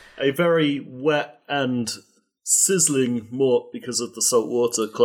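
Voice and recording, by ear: Against quiet surroundings, a passage is read aloud in a natural voice, its pitch moving in an ordinary way.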